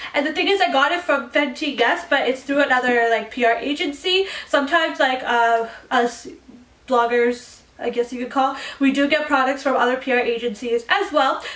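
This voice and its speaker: A woman's high voice, with ordinary pitch variation, comes through noticeable background noise. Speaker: beauty youtuber. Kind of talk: casual chat. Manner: fast.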